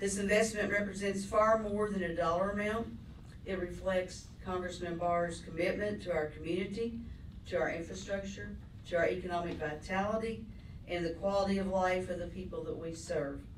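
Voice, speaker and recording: A woman talks at a moderate pace and medium pitch, with fairly even intonation. Audible room echo and noticeable background noise are present. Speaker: mayor. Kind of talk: formal speech at press event.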